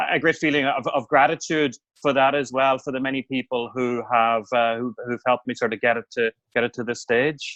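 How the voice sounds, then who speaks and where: Speaking at a fairly quick pace in a Northern Irish accent, the voice keeps a fairly even intonation. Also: man, medium pitch for a man. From Northern Ireland, County Tyrone (Omagh). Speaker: newspaper editor and author. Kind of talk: podcast interview. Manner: hesitant, many fillers and repeats.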